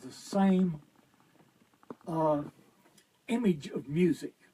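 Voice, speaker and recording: Speaking at a very slow pace, a man with an American accent has a high pitch and ordinary pitch variation. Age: 70s. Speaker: guitarist and guitar teacher. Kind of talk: casual interview chat. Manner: halting.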